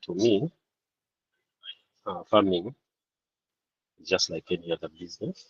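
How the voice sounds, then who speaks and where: A soft-spoken man talks at a very slow pace, his voice dry and close with no echo. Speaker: part-time farmer and accountant. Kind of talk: panel discussion. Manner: halting. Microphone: too quiet.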